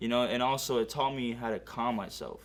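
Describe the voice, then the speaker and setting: A man's medium-pitched voice with an American accent, a plain, everyday voice at a fairly quick pace. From US Northeast (Connecticut) and California. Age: 20s. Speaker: amateur MMA fighter. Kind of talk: documentary interview. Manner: casual, filler-heavy.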